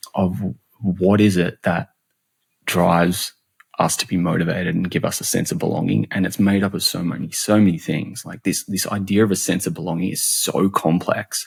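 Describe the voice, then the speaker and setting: Speaking with an Australian accent, a man with a very deep, low pitch talks at a moderate pace with ordinary pitch variation. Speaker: customer and employee experience expert. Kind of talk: podcast interview. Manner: animated; halting, many repeated words.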